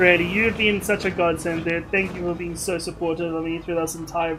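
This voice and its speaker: With noticeable background noise and audible room echo, a man speaks at a moderate pace in a high-pitched voice. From South Africa. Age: 20s. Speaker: gaming livestreamer. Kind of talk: live gaming stream chat. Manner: casual, chatty.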